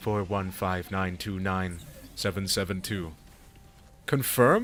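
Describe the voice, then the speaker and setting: In a put-on character voice, a man speaks very deep and low at a fairly slow pace over clear background noise. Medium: virtual streamer. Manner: monotone, mechanical.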